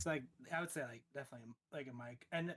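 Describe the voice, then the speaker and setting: A soft-spoken man talks at a moderate pace. His tone is bright and sharp, with ordinary pitch variation. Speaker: streamer. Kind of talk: casual chat. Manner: halting.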